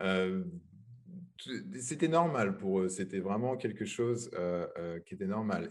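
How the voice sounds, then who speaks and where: A man talks rather slowly, his intonation lively. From France. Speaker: web developer. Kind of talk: interview. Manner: halting, many repetitions.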